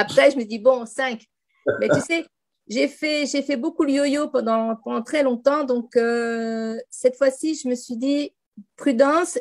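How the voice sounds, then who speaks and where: Very slowly, a woman speaks in a high voice with ordinary pitch variation. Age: 60s. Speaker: program participant, reflexologist. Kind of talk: interview testimony. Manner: halting.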